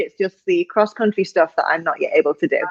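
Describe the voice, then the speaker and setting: In a dry, close sound with no echo, a woman speaks with a northern English accent. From northern England. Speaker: executive coach. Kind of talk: interview.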